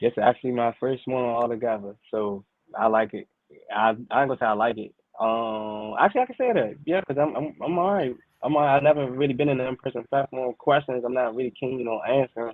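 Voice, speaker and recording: A man with an American accent speaks at a fairly quick pace, his medium pitch showing ordinary variation. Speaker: rap artist. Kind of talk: interview. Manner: even, calm level tone; halting.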